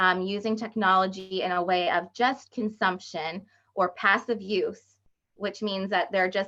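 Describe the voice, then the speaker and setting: With a bright, sharp tone, a woman speaks at a fairly slow pace in a medium pitch and monotone, flat intonation. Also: quiet background. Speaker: education curriculum specialist. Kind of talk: webinar presentation. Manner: hesitant, many fillers.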